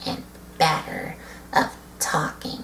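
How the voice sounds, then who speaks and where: Noticeable background noise fills the clip. The talking unfolds at a very slow pace. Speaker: toy reviewer. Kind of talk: casual chat. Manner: quiet, barely audible at times.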